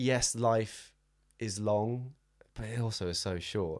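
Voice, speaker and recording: A man talks in a southern English accent with fairly even intonation. The recording is very clean, with a silent background. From southern England (Southampton). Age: 20s. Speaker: run coach. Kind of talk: casual chat.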